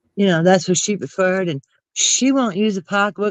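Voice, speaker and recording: An animated tone in a New Jersey accent at a fairly quick pace. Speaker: YouTube commentary streamer. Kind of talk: casual chat.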